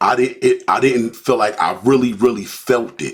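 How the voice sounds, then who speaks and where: A man with an ordinary speaking voice talks at a medium pitch with ordinary pitch variation. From Newark, New Jersey. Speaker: podcast co-host. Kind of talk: personal testimony in casual podcast chat.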